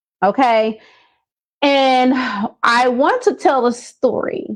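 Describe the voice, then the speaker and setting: A woman speaks against a quiet background. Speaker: business coach. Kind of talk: live stream motivational talk. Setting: Facebook Live video. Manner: stumbling over words.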